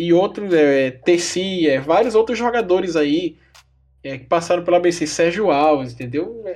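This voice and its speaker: Pitched high, the man talks fairly slowly with ordinary pitch variation. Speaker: football podcast co-host. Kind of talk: casual chat.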